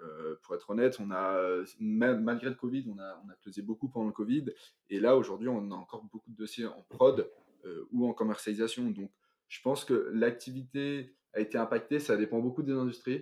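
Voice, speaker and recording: A man talks in a normal speaking voice at a medium pitch. His pitch varies in an ordinary way. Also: big swings in loudness. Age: 20s. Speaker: financial analyst. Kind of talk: interview.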